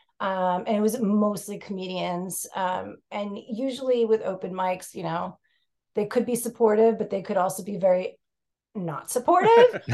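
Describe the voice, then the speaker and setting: A woman speaks with a New York accent at a fairly slow pace. Her medium pitch has a dark, mellow tone and ordinary pitch variation. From New York City. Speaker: stand-up comedian, podcast guest.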